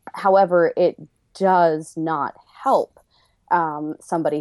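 Her ordinary speaking voice sits fairly low, with ordinary pitch variation, a dry, close sound with no echo, and a quiet background. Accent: American. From Boston area. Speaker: interview guest. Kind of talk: interview.

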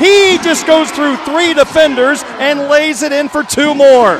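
A man speaks over noticeable background noise. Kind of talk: live sports commentary. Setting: gym broadcast, radio. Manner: rattles off stats and details in a steady rhythm.

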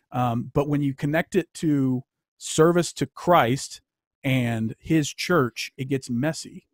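In a plain, everyday voice with an American accent, a man speaks at a fairly high pitch with ordinary pitch variation, the sound dry and close with no echo. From Louisiana, US South. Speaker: author. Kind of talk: casual chat. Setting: video call.

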